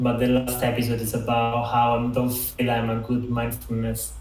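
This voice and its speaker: The voice moves at a fairly quick pace in a monotone, flat intonation, with audible room echo and noticeable background noise. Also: man. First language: Italian. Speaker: designer and mentor. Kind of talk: online talk. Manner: halting.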